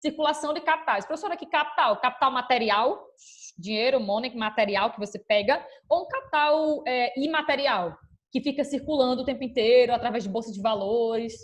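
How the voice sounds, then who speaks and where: Her voice is high, with ordinary pitch variation, as a woman speaks over a quiet background. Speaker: school teacher. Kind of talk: online class lecture. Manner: fast.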